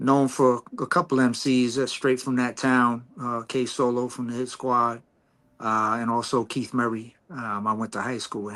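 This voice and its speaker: Speaking at a fairly slow pace with an American accent, a man uses an unremarkable speaking voice of medium pitch and fairly even intonation on a very clean recording with a silent background. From Long Island, New York. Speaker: hip hop artist. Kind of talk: casual chat.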